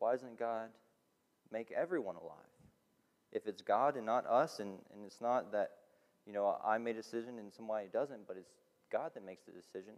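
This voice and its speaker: A man at a fairly quick pace, with big swings in loudness, ordinary pitch variation, and long, frequent pauses. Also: medium pitch for a man. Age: 20s. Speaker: student pastor. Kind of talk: sermon.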